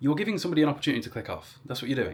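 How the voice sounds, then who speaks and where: A man's fairly high voice carries vocal fry and lively intonation. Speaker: social media content creator. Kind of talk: advice monologue vlog. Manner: rambling, conversational; articulate, engaging speaker.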